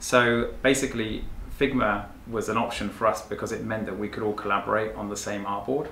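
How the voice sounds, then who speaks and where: Fairly quick speech with audible room echo and light background noise. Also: man. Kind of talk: interview answer. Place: office.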